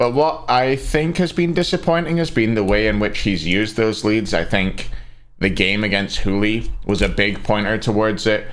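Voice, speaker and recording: Audible room echo surrounds a man with a slight Scottish accent and a fairly low pitch. His loudness stays very even. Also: moderate pace. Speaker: esports commentator. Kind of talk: livestream ranking commentary. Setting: live stream with chat.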